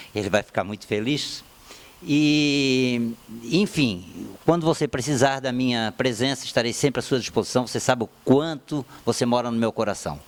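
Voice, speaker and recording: This man has an ordinary speaking voice at a medium pitch with ordinary pitch variation. He talks at a moderate pace. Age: 60s. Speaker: former footballer. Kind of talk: sports debate panel.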